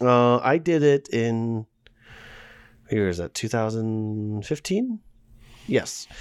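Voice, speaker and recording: Very slowly, a man talks at a medium pitch, leaving long, frequent pauses. The recording is very clean, with a silent background. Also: ordinary pitch variation. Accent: American. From US Northeast, Pittsburgh area. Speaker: podcast co-host. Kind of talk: casual chat.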